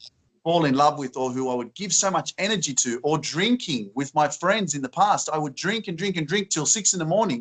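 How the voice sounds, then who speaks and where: Here a man speaks with an Australian accent. His pitch is fairly high and his intonation lively. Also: moderate pace. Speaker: positive influencer. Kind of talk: interview answer. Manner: upbeat, enthusiastic.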